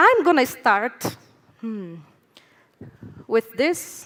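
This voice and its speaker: A woman speaks with a high pitch at a very slow pace. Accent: Brazilian. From Brazil. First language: Portuguese. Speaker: speaker at a conference, foundation operations head. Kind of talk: conference talk. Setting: stage with audience.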